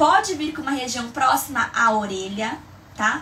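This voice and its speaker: A woman's animated tone and lively intonation, with audible room echo and noticeable background noise. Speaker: migraine educator, live streamer. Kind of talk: live stream tutorial. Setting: live stream.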